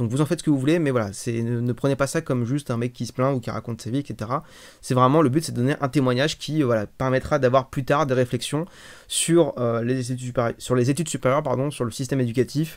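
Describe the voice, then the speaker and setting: A man speaks at a very fast pace with a medium pitch and fairly even intonation, on a very clean recording with a silent background. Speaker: streamer. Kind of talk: testimony. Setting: live stream. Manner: halting.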